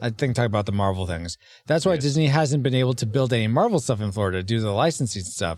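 In a normal speaking voice, a man at medium pitch talks at a fairly quick pace with lively intonation. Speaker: podcast host. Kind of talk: casual podcast roundtable about a movie.

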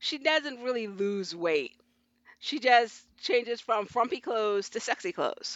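With an unremarkable speaking voice, a woman speaks at a fairly slow pace in a fairly high pitch with lively intonation. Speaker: government analyst and fiction writer. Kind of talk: casual chat.

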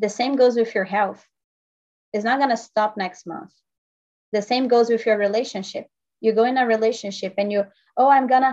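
In a Portuguese accent, the speaker talks at a fairly quick pace with ordinary pitch variation. Long pauses come often. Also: woman. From Brazil. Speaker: health and life coach. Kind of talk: podcast interview.

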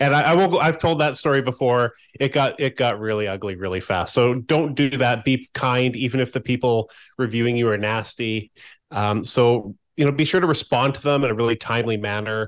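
Over a quiet background, a man talks at a fairly quick pace in an ordinary speaking voice with ordinary pitch variation. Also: medium pitch for a man. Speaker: co-host, senior SEO specialist. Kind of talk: educational podcast discussion.

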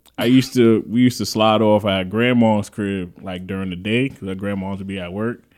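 A man with a New York accent, fairly even intonation and a fairly quick pace. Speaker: podcast host. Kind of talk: casual chat.

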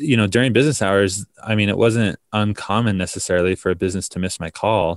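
This man has an ordinary speaking voice with an American accent, fairly low pitch and ordinary pitch variation, talking at a moderate pace in a very clean recording with a silent background and a dry, close sound with no echo. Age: 20s. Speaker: startup founder. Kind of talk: interview.

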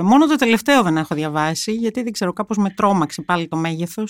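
A woman talks with a German accent in a very clean recording with a silent background. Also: dry, close sound with no echo. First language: German (speaking Greek). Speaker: journalist. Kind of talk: interview. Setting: studio.

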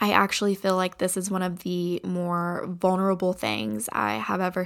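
On a very clean recording with a silent background, a woman with an American accent speaks slowly-ish at a medium pitch. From Kentucky, Appalachia. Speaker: podcast host. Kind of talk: solo podcast monologue. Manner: casual, stream of consciousness.

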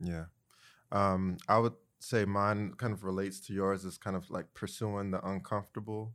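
A man with an American accent speaks in a fairly low pitch at a moderate pace. His intonation is monotone and flat, and the recording is very clean with a silent background. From Greensboro, North Carolina. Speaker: former lobbyist, community organizer. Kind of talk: casual group conversation. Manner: halting, many fillers.

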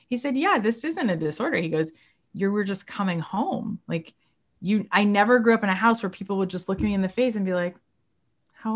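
In a very clean recording with a silent background, a woman speaks at medium pitch, somewhat breathy, with ordinary pitch variation. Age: 40s. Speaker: actor and voiceover artist. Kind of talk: casual chat. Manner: animated.

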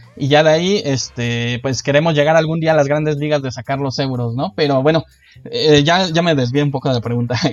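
A man with a fairly high pitch and fairly even intonation talks at a fairly quick pace, with noticeable background noise present. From Mexico. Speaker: board game designer. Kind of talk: casual interview.

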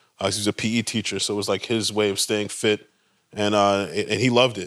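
Here is a man with an American accent and a fairly low pitch. He talks at a very fast pace. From Baltimore, US. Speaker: co-founder of a mindfulness nonprofit. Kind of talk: casual conversational talk.

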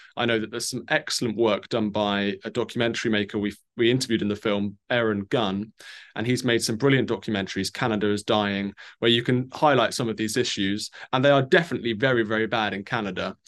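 With a quiet background, a man talks at a very fast pace at medium pitch, his intonation fairly even. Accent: British. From Britain. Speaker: journalist and documentary filmmaker. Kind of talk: interview.

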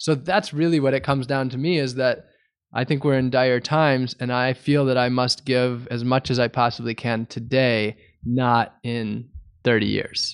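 Here is a man with a plain, everyday voice and medium pitch. He keeps a moderate pace and fairly even intonation. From US Midwest, Wisconsin. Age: 30s. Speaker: environmental activist. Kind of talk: interview.

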